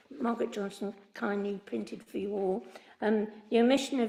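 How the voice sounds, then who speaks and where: A woman with a West Midlands accent speaks with fairly even intonation amid audible room echo. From English Midlands, Worcester. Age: 80s+. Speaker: member of the public objecting to a planning application. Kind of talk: public statement at council meeting. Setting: council committee meeting. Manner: hesitant, many fillers.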